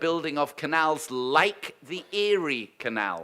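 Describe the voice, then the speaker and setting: The voice has a British accent. Its tone is bright and sharp. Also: man. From United Kingdom. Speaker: university leader welcoming conference. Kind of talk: welcome speech. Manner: formal.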